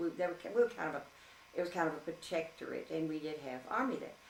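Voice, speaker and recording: Talking at a very fast pace over noticeable background noise, a woman with a very deep, low pitch speaks in a Louisiana accent. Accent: Southern American (Louisiana). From Shreveport, Louisiana. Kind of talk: interview answer.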